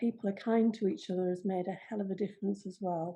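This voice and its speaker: A woman's somewhat breathy voice has a dark, mellow tone and ordinary pitch variation. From northern England, Cumbria. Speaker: retired nurse. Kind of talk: interview. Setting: video call.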